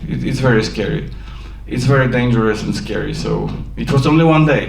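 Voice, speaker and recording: A man with a Polish accent at a fairly quick pace, amid noticeable background noise and audible room echo. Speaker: film director. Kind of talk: post-screening Q&A. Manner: halting.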